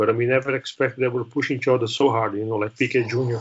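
A man speaks with a Brazilian accent. He talks at a very fast pace. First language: Portuguese. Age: 30s. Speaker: former racing driver and helicopter pilot. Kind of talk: interview. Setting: remote call.

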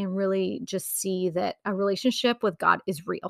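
In an American accent, a woman with a bright, sharp tone and ordinary pitch variation is heard in a dry, close sound with no echo, on a very clean recording with a silent background. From Wrightsville Beach, North Carolina. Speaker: business owner and fashion consultant. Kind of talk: casual interview chat.

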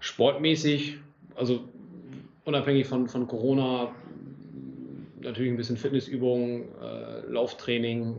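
The voice moves at a fairly slow pace with monotone, flat intonation and long, frequent pauses. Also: man, medium pitch for a man. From northern Germany, Lower Saxony (Großenkneten). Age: 20s. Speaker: amateur football club section head. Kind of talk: casual interview.

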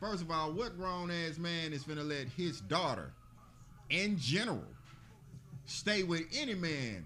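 In an Alabama accent, a man speaks with a high pitch and a bright, sharp tone, with audible room echo. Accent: US South (Alabama). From Birmingham, Alabama. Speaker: podcast co-host. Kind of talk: casual chat. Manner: animated.

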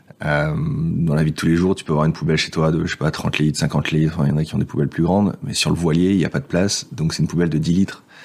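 Over noticeable background noise, the voice moves very fast with fairly even intonation. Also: man, very deep, low pitch for a man. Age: 30s. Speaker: former IT project manager living on a sailboat. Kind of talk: casual interview.

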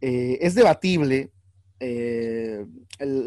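In a Mexican accent, the speaker talks with ordinary pitch variation in a dry, close sound with no echo. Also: man. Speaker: actor, clown and teacher co-hosting film podcast. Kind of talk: casual chat.

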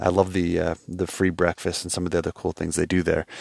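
A man with an American accent speaks at a very fast pace in a very deep, low pitch. His intonation is monotone and flat, and the sound is dry and close with no echo. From New York. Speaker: travel podcaster. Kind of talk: casual monologue. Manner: halting, many fillers and restarts.

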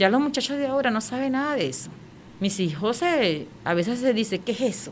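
Audible room echo around a woman's fairly high voice, moderate in pace, with very wide pitch swings. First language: Warao (speaking Spanish). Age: 40s. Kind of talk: interview testimony.

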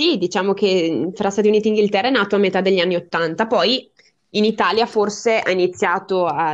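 In a plain, everyday voice, a woman of medium pitch talks at a fairly quick pace with ordinary pitch variation. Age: 20s. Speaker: podcast listener and guest. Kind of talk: casual interview. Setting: online call.

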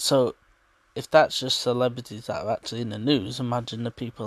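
A man with a medium-pitched voice talks at a fairly quick pace with ordinary pitch variation, and the sound is dry and close with no echo on a very clean recording with a silent background. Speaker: mental health podcaster. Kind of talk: personal monologue. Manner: quiet, not full voice.

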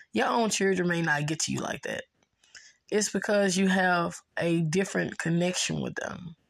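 A woman with an American accent talks at a moderate pace, using a plain, everyday voice. Her pitch is fairly low with ordinary variation, and the recording is very clean with a silent background. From US South, Memphis, Tennessee. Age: 30s. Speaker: podcast host and relationship coach. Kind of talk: motivational monologue. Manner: casual, repetitive with restarts.

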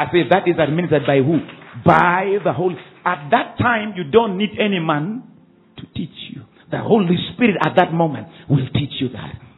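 A man speaks in an animated tone at a high pitch. Noticeable background noise runs underneath. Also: moderate pace. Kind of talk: sermon. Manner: animated, call-and-response preaching with rising exhortation; warm, earnest, teacherly tone.

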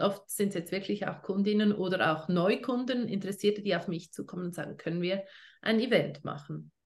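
At a medium pitch and fairly quick pace, a woman talks in a somewhat breathy voice with ordinary pitch variation. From Switzerland. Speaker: essential oils network marketing leader. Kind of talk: casual interview.

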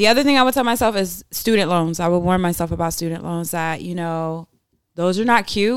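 A woman speaks at a fairly quick pace in a normal speaking voice. Her pitch is fairly low, with ordinary pitch variation. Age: 20s. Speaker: podcast co-host. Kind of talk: casual chat. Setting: live stream on social media.

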